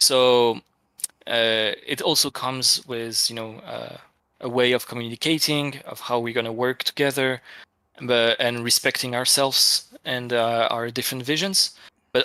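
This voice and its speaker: With a French accent, a man speaks at medium pitch and a fairly slow pace in a bright, sharp tone with fairly even intonation. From France. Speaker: game art director. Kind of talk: casual chat. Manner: halting, many fillers.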